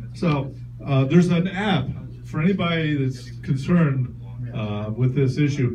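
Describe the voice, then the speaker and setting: A man speaks at a medium pitch and a fairly slow pace, with ordinary pitch variation and audible room echo. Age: 60s. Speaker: stand-up comedian. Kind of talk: stand-up. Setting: stage with audience.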